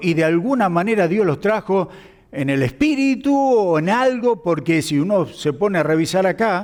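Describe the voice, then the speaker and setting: Male voice, high in pitch, with very wide pitch swings at a moderate pace. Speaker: pastor. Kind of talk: sermon.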